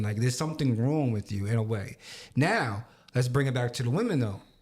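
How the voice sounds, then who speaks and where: In a very clean recording with a silent background, a man with an American accent speaks at a medium pitch and a fairly quick pace, somewhat breathy and with lively intonation. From Long Island, New York. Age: 30s. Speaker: podcast co-host. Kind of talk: casual chat.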